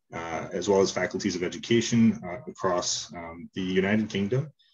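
This man has an unremarkable speaking voice with a fairly low pitch. He talks at a moderate pace with ordinary pitch variation. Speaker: presenter. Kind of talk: conference presentation. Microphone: video call.

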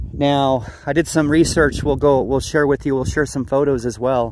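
The pace is moderate. The sound is dry with no echo, with light background noise. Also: man. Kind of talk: casual vlog chat. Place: open country. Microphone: phone near.

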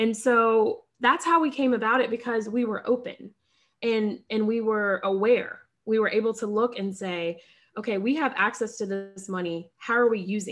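A woman with an American accent talks at a moderate pace and a fairly high pitch. Her pitch varies in an ordinary way, with light background noise behind her. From US South, Charlotte, North Carolina. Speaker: physician and entrepreneur; podcast guest. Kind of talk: casual interview. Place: home room. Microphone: webcam.

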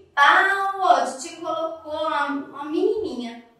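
A raised, projected voice at a fairly slow pace, with strong room echo. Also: woman. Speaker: preschool teacher. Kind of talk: tutorial for young children. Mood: warm, sing-song teacher tone. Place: classroom.

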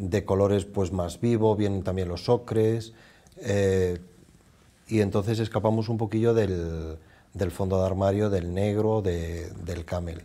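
Speaking at a fairly low pitch, a man uses monotone, flat intonation. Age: old. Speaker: department store fashion manager; TV guest. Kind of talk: fashion advice chat. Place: studio. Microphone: lapel.

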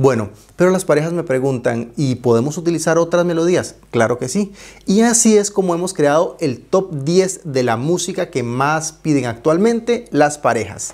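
This man's intonation is lively. He speaks at a moderate pace against a quiet background. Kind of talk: presentation to camera. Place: home room.

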